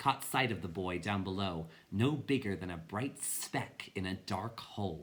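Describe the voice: This plain reading aloud has lively intonation.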